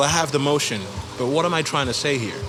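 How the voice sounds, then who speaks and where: A man speaks at a very fast pace with a fairly high pitch and ordinary pitch variation. Noticeable background noise sits behind him. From Gabon. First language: French. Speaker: musician. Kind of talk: interview.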